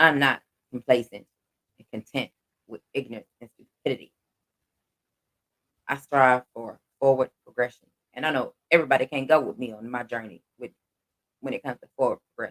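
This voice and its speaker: Animated and bright, with a sharp tone, a man's medium-pitched voice shifts widely in loudness and leaves long, frequent pauses, the sound dry and close with no echo. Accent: Southern US. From Texas. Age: 40s. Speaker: livestream host. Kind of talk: casual livestream chat.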